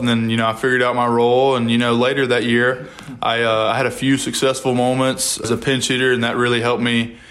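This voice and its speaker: Talking very fast over audible room echo, a man holds a medium pitch in a monotone, flat delivery. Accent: American. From Mississippi, Columbia. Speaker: college baseball player. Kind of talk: interview.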